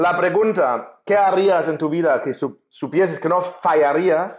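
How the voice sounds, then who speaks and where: With a German accent, a man speaks in a high pitch at a fairly slow pace. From Germany. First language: German (speaking Spanish). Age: 40s. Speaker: writer and coach. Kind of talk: interview conversation.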